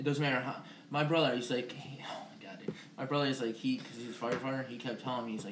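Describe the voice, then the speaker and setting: Very fast in pace, a man at a medium pitch talks with ordinary pitch variation over noticeable background noise. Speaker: podcast co-host. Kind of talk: casual banter podcast. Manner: soft-spoken.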